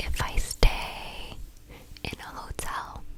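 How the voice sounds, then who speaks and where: Someone whispers in an American accent over noticeable background noise. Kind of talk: ASMR whispered storytime ramble. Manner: whispered.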